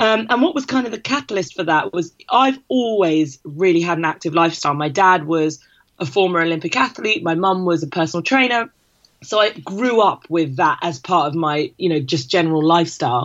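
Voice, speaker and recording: With lively intonation, a woman speaks at a fairly low pitch in a normal speaking voice. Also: fairly quick pace. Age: 30s. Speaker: fitness campaign founder and mum. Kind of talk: casual interview chat.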